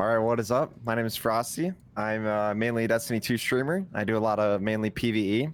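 Here a man uses an ordinary speaking voice at a medium pitch with ordinary pitch variation. He keeps a moderate pace and very even loudness. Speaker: Destiny 2 streamer and clan member. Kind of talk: casual podcast chat about gaming.

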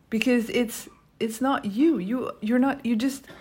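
A somewhat breathy woman's voice. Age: 30s. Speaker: podcast host. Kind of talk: solo rant. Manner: casual, rambling with self-corrections.

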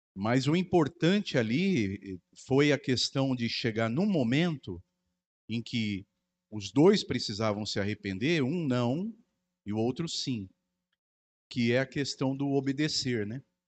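At a very slow pace with long, frequent pauses, a man speaks at a medium pitch and with lively intonation. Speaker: congregant. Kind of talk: reading aloud and class comment.

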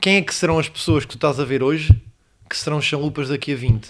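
Over a silent background in a very clean recording, a man with a European Portuguese accent talks at a fairly quick pace in a fairly high voice. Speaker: podcast co-host. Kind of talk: casual chat.

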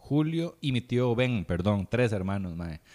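An animated man with a Costa Rican accent at a medium pitch, with lively intonation in a very clean recording with a silent background. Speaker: podcast host. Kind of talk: casual chat.

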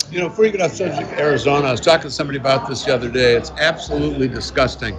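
Noticeable background noise runs under this man's voice. His pitch is fairly high, with ordinary variation. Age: 70s. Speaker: guest co-host. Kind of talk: radio talk show. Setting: live remote broadcast at an expo.

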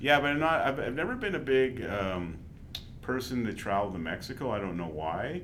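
In a western Canadian accent, a man speaks at a medium pitch with very wide pitch swings. Audible room echo surrounds the voice. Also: moderate pace. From Calgary, Alberta, Canada. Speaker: podcast host. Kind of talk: casual chat; sponsor read.

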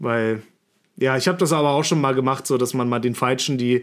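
A man talks at a medium pitch with ordinary pitch variation. He has an unremarkable speaking voice. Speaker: podcast co-host, former YouTuber. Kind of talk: casual chat. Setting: remote call with headset. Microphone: new headset.

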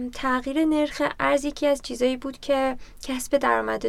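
A woman speaks at a moderate pace. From Iran, Tabriz. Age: 30s. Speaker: freelance graphic designer. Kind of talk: personal story interview.

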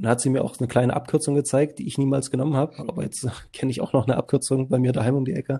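The tone is dark and mellow, somewhat breathy, with fairly even intonation. The delivery is very fast. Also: man, medium pitch for a man. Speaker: podcast co-host. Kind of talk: casual interview.

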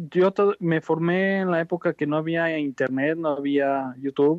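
A man with a normal speaking voice talks at a fairly slow pace, his fairly high pitch held in fairly even intonation. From Mexico, Jalisco (Ciudad Guzmán). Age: 30s. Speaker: flamenco guitarist. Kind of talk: interview.

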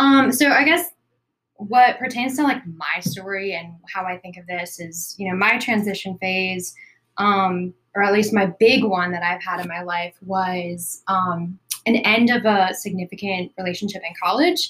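A woman with an American accent and an ordinary speaking voice, medium in pitch with ordinary pitch variation, fairly slow, with big swings in loudness. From US South, South Carolina. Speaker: social worker. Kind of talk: casual chat.

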